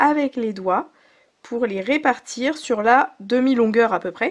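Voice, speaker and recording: A woman speaks at a very slow pace in a high voice. Her intonation is lively. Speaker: sewing teacher. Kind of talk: tutorial. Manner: brief and to the point.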